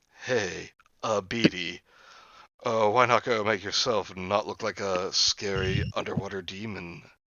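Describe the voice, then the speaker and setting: Doing a put-on character voice, a man speaks in a raspy, fairly low register at a moderate pace with fairly even intonation. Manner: weirded out, uneasy.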